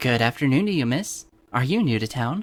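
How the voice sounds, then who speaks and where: A man puts on a character voice at a medium pitch. He moves at a fairly quick pace. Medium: read story. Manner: cheerful, harmonious.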